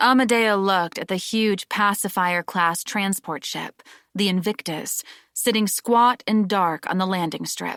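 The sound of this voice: The background is quiet. An unforced reading voice carries ordinary pitch variation.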